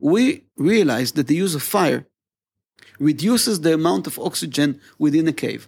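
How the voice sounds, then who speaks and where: This man talks at a moderate pace with a fairly high pitch, lively intonation and vocal fry. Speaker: archaeology professor. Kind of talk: interview. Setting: his office at the university. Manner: halting, repeats words.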